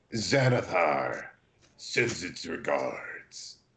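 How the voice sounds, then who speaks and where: A man is doing a put-on character voice. It sounds raspy. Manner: menacing.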